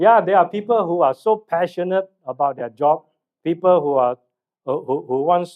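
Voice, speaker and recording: With ordinary ups and downs in pitch, a man talks at a moderate pace. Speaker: mental health trainer and speaker. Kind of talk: seminar talk. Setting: hall with live audience, mic. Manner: loud.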